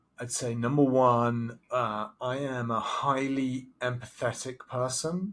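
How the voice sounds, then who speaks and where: A man with an English accent speaks over music in the background. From southern England. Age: 40s. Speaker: professor and business consultant. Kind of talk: interview. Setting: video call.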